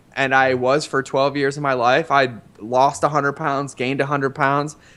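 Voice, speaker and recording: In an American accent, a man speaks with fairly high pitch and a bright, sharp tone. The background is quiet. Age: 30s. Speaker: former marine and paleo chef. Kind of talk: interview. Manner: fast; animated.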